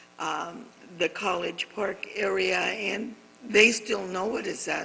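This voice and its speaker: A woman with an American accent, at a very slow pace, with fairly even intonation and noticeable background noise. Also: medium pitch for a woman. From Camarillo, California (US West Coast). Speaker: community leader. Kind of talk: interview conversation. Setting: art gallery on location.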